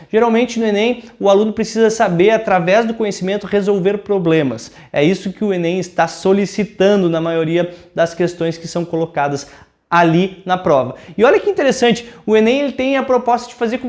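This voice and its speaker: A man talks in a high voice with a southern Brazilian accent. His intonation is lively. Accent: gaúcho Brazilian Portuguese. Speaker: teacher. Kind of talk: lecture. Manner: informal, conversational.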